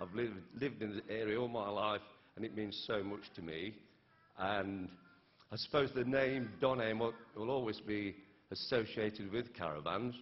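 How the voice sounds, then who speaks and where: A man's fairly low voice with an East Midlands accent, at a moderate pace, with ordinary pitch variation and long, frequent pauses. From England, Derby (East Midlands). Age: 60s. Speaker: businessman receiving honorary degree. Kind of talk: acceptance speech. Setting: graduation ceremony with audience. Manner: halting.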